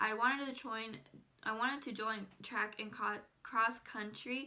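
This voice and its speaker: A woman speaks at a fairly slow pace. Her tone is bright and sharp, and her pitch fairly high. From Southern California. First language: Spanish. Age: 20s. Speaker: YouTuber. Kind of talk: casual vlog monologue. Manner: casual, filler-heavy (frequent 'like').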